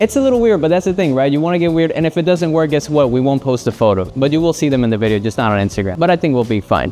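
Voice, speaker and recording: The pitch swings very widely at a very fast pace. Music plays in the background. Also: man. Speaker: photographer and video creator. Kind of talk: casual tutorial vlog. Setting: photo studio. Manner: playful, joking.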